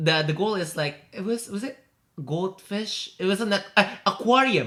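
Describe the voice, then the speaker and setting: A man speaks with a high pitch and an Indonesian accent. His intonation is lively. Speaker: podcast co-host. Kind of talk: casual chat. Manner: halting.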